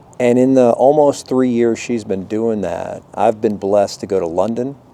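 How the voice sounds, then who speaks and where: A man speaks with an ordinary speaking voice at medium pitch. His pace is moderate and his pitch varies in an ordinary way. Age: 50s. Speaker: high school teacher and vlogger. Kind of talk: personal vlog monologue.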